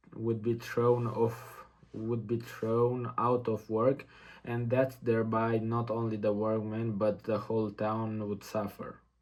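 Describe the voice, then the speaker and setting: A man at a medium pitch with a non-native accent, very slow and monotone with flat intonation. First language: not English. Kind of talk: practice reading aloud of a nonfiction text. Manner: halting, repeats words.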